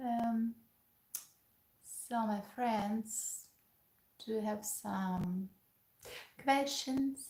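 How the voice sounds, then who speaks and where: At a very slow pace, a woman speaks with a fairly high pitch and long, frequent pauses. Her voice is somewhat breathy and her intonation fairly even. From Ukraine. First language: Ukrainian and Russian. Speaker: pianist and piano teacher. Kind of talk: casual live-stream Q&A.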